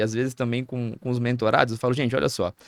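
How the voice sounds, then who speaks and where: A man with a southern Brazilian accent talks at a very fast pace in a medium pitch. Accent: southern Brazilian (gaúcho) Portuguese. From Rio Grande do Sul, Brazil (interior). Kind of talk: podcast interview.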